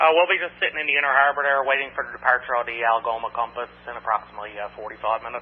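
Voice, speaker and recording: Ordinary pitch variation from a man, with light background noise. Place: boat. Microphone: two way radio.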